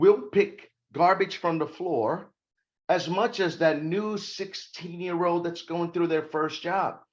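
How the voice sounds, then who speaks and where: A man at a high pitch, animated in tone and fairly slow, over a quiet background. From Brazil. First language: not English (English is third language). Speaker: corporate security expert and author. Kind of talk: interview.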